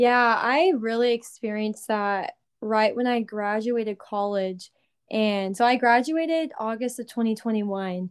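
A woman speaks in a plain, everyday voice at a fairly high pitch and a fairly slow pace. Her pitch variation is ordinary, and the background is quiet. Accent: American. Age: 20s. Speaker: recent graduate, ministry worker. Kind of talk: casual chat.

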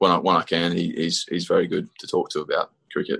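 Over a quiet background, a man with an Australian accent speaks in a dry, close sound with no echo. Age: 20s. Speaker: professional cricketer. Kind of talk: interview.

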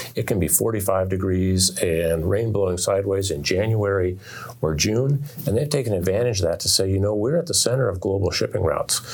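Fairly low-pitched and somewhat breathy, a man with an American accent at a fairly quick pace, with very even loudness and ordinary pitch variation. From Oregon, US. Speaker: author. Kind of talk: interview. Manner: halting, with repetitions.

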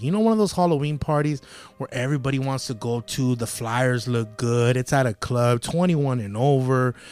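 In a very clean recording with a silent background, a man talks at a fairly quick pace in an animated tone with ordinary pitch variation. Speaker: podcast host. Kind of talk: casual chat. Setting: studio.

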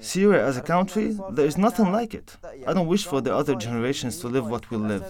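Over noticeable background noise, a man talks at a very fast pace in a fairly high pitch with very wide pitch swings. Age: 20s. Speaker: displaced Syrian activist. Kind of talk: interview testimony.

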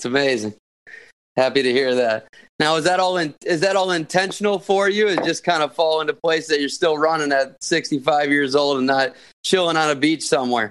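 A man talks at a fairly quick pace with a fairly high pitch. He has an ordinary speaking voice with ordinary pitch variation. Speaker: podcast co-host. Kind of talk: casual interview chat.

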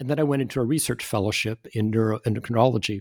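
This man rushes along at a very fast pace. His recording sounds dry and close, with no echo. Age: 70s. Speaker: retired neurologist and author. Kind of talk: interview. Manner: halting, many fillers and repetitions.

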